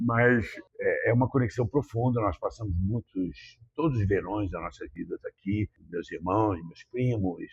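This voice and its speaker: Heard dry and close with no echo, the man talks fairly slowly. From Rio de Janeiro, Brazil. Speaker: businessman from a business family. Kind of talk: podcast interview. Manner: halting, many fillers.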